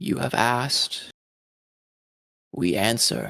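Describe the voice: A man's put-on character voice at medium pitch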